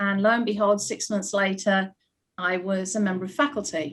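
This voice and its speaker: At a moderate pace, a woman with a British accent speaks at medium pitch with ordinary pitch variation. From United Kingdom. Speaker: ballet school principal. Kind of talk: panel discussion.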